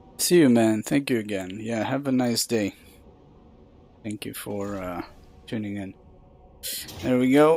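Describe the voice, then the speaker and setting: Over music in the background, the voice moves at a fairly slow pace with long, frequent pauses, big swings in loudness and ordinary pitch variation. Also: man, medium pitch for a man. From Russia. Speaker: game streamer. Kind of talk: casual live stream commentary.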